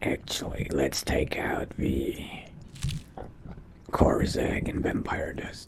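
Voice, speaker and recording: Here a man uses a put-on character voice with a raspy sound. His pace is very slow. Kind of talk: in-character game roleplay narration.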